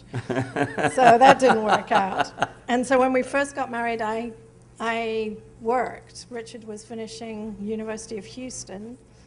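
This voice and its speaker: This woman has a British accent and a fairly high pitch. Audible room echo surrounds her voice. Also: ordinary pitch variation, fairly slow pace. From England, Norfolk (East Anglia). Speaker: artist, photographer. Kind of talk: interview on stage. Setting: museum event with audience.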